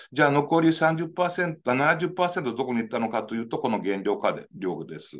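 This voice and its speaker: A man with a fairly high pitch speaks at a moderate pace, his pitch swinging very widely against a quiet background. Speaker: engineering professor. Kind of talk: lecture. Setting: video call. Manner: formal. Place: office. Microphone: webcam.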